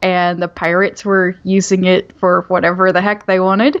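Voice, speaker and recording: A woman's medium-pitched voice in a Southern Oklahoma accent, at a fairly slow pace. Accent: Southern Oklahoma (US South). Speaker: author. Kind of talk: casual interview.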